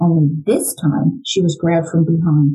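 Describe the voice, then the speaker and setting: With an American accent, a woman speaks in a dark, mellow, somewhat breathy tone at a fairly low pitch. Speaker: true crime podcast host and former psychology educator. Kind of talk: true-crime narration, reading aloud from the book in a serious storytelling mode. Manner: measured, grave and suspenseful.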